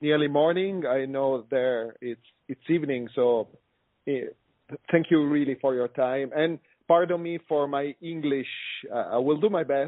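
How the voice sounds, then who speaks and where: Speaking with an Italian accent, a man uses a fairly high pitch, ordinary pitch variation, a fairly slow pace and long, frequent pauses. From Italy, Milan. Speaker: osteopath and workshop instructor. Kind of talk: conference call talk. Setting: phone conference call.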